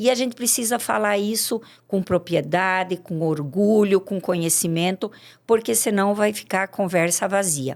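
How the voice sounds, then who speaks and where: Pitch varies in an ordinary way as an unremarkable speaking voice proceeds at a moderate pace. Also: woman, medium pitch for a woman. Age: 60s. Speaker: farmer. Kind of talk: podcast interview.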